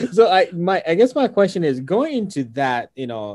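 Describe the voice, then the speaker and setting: Enthusiastic and animated, a man speaks at a moderate pace with very wide pitch swings. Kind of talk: casual interview. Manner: enthusiastic, animated.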